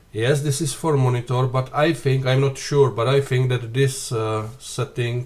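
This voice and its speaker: The man speaks at a medium pitch and a fairly slow pace. His voice is somewhat breathy, with ordinary pitch variation. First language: not English. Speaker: flight sim youtuber. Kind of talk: tutorial. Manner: halting.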